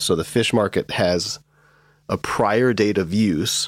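The recording is very clean, with a silent background. A man with a Midwestern US accent speaks with ordinary pitch variation. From US Midwest, Michigan. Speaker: lawyer podcast host. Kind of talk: casual chat, legal discussion.

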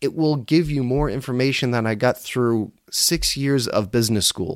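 A man speaks at a moderate pace with a medium pitch and ordinary pitch variation, in a normal speaking voice. The recording is very clean, with a silent background. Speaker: podcast host and business coach. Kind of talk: solo podcast monologue. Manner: casual, conversational with filler words.

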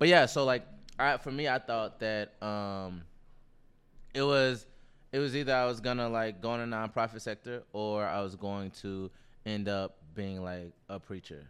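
With an American accent and an unremarkable speaking voice, a man talks at a moderate pace in a fairly low pitch with ordinary pitch variation. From US South, Nashville. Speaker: podcast co-host. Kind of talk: casual chat.

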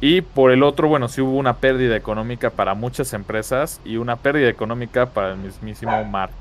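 At a fairly quick pace, a man with a Mexican accent talks at a medium pitch with ordinary pitch variation. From Mexico. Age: 30s. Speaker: gaming podcast co-host. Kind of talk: casual chat.

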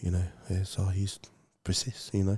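A somewhat breathy man's voice, very deep and low in pitch with a dark, mellow tone, in a dry, close sound with no echo. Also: very clean recording, silent background. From Samoa. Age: 40s. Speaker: mental health advocate. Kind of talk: interview testimony.

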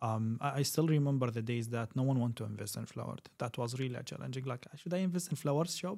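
A man's dark, mellow, medium-pitched voice with an Arabic accent, ordinary pitch variation and a very fast pace. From Kuwait (Syrian family). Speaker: tech executive. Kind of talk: casual chat.

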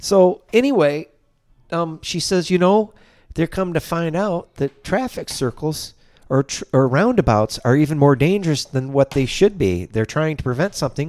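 In a plain, everyday voice, a man with a fairly high pitch talks at a moderate pace with lively intonation, on a very clean recording with a silent background. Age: 60s. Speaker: podcast guest, wheelchair user. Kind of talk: casual chat.

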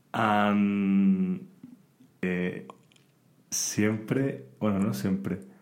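A man with a fairly low pitch talks at a very slow pace, leaving long, frequent pauses. His pitch varies in an ordinary way, and room echo can be heard. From Spain. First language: Spanish. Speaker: podcast guest, student. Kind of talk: casual chat. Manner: halting in English.

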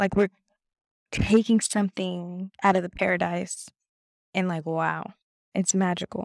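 In a dry, close recording with no echo, a woman with a Californian accent speaks at medium pitch and a fairly slow pace, with monotone, flat intonation and long, frequent pauses. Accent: Californian American English. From Los Angeles, California. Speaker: podcast host. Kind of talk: casual monologue.

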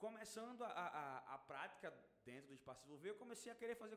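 With lively intonation, this man keeps a fairly quick pace. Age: 20s. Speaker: paid traffic manager. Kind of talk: casual chat.

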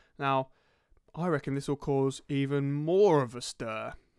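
A man's fairly high voice with a southern English accent, dry and close with no echo, on a very clean recording with a silent background. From southern England (Crawley, West Sussex). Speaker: podcast co-host. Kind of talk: casual chat.

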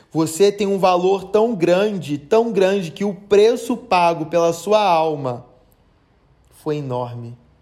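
With audible room echo, a high-voiced man speaks very slowly in a dark, mellow tone with lively intonation. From Brazil, Rio de Janeiro. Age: 30s. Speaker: podcast preacher. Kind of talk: sermon. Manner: animated.

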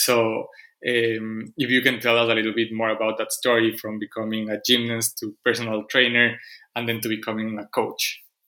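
With a non-native accent, a man speaks at a medium pitch and a moderate pace in a bright, sharp tone, his intonation monotone and flat, on a very clean recording with a silent background. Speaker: podcast host. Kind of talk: interview conversation.

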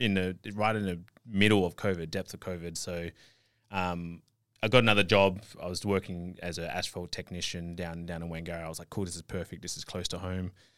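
In a very clean recording with a silent background, a man with an Australian accent speaks at a fairly quick pace in a very deep, low pitch, his intonation monotone and flat while his loudness swings widely. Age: 30s. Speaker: online fitness coach and natural bodybuilder. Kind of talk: interview. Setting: studio.

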